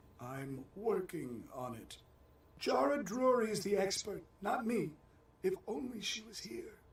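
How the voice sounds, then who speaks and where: The put-on character voice, pitched in the middle, proceeds fairly slowly. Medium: video game. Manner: calm, terse questioning.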